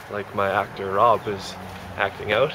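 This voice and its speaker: A man talks while light background noise sits behind him. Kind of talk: casual vlog chat. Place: garden. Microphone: phone near.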